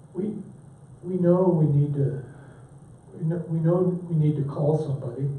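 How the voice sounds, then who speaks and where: In a room with audible echo, a man with a fairly high pitch and fairly even intonation speaks at a moderate pace, leaving long, frequent pauses. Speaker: pastor teaching a church class. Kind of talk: lecture.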